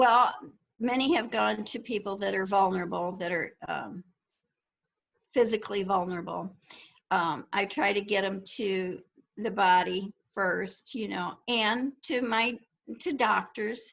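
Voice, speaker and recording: A woman with vocal fry speaks at medium pitch with ordinary pitch variation. Her pace is fairly slow, broken by long, frequent pauses. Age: 70s. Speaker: mask maker, church member. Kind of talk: casual interview.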